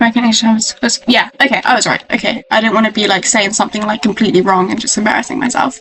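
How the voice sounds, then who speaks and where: Someone with a British accent speaks over music in the background. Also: woman. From Britain. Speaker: gaming video creator. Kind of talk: casual commentary. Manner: animated.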